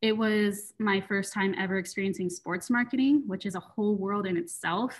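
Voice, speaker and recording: A woman with a plain, everyday voice speaks at a moderate pace and medium pitch, with ordinary pitch variation, in a very clean recording with a silent background. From West Michigan, US. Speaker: marketing coordinator. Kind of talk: interview.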